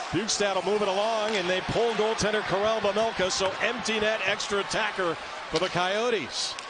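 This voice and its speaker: Against noticeable background noise, a man with a high pitch speaks at a moderate pace with very even loudness and fairly even intonation. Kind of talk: live sports commentary. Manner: loud, punchy, exclamatory calls.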